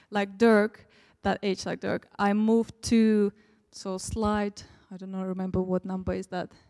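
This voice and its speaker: At a fairly slow pace, a woman with a Russian accent speaks at medium pitch in a dark, mellow tone with monotone, flat intonation, the sound dry and close with no echo. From Turkmenistan, Russian-speaking family. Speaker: preacher. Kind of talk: sermon. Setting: church.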